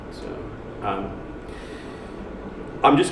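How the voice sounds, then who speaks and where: A man with an American accent talks at a moderate pace. Audible room echo and noticeable background noise are present. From United States. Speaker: academic researcher. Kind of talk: conference talk. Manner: halting, many fillers.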